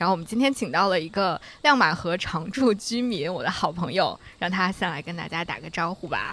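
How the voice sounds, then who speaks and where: The speaker is a woman with a medium pitch. She has an unremarkable speaking voice. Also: lively intonation, fairly quick pace. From Central Plains, China. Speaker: podcast host. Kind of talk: casual chat. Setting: outdoors by a river.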